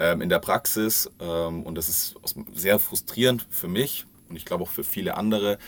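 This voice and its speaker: At a moderate pace, a man with a fairly low pitch speaks with ordinary pitch variation and big swings in loudness. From Bavaria, south of Munich. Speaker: corporate social responsibility manager. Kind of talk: podcast interview. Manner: hesitant with many fillers.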